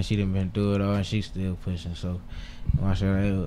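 The speech moves at a moderate pace. Audible room echo surrounds the voice. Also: man. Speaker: rapper. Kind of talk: casual interview chat.

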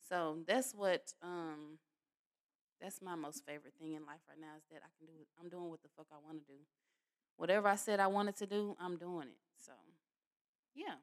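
Speaking at a moderate pace with a fairly low pitch, a woman shows ordinary pitch variation, big swings in loudness, and long, frequent pauses. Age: 30s. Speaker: podcast host. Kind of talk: casual solo podcast monologue.

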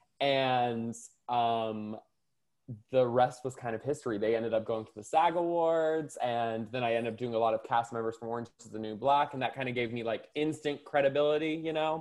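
A man with an American accent and a normal speaking voice, at a fairly quick pace, with ordinary pitch variation and big swings in loudness. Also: medium pitch for a man. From US South. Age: 30s. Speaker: makeup artist. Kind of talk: casual chat.

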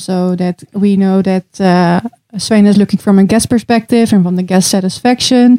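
A woman's dark, mellow tone at medium pitch, with fairly even intonation, a moderate pace, and a dry, close sound with no echo. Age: 20s. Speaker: hotel revenue manager. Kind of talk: casual interview.

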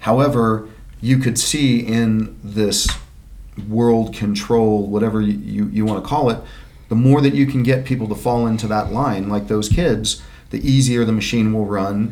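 A man with a medium pitch is heard with audible room echo. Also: fairly even intonation, moderate pace. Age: 50s. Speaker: podcast host. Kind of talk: casual chat.

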